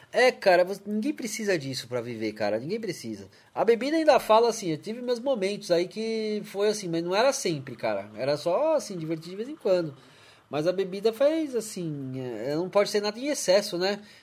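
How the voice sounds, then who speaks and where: Someone speaks at a moderate pace on a very clean recording with a silent background. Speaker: live stream podcast host. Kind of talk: casual chat. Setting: live stream from home studio.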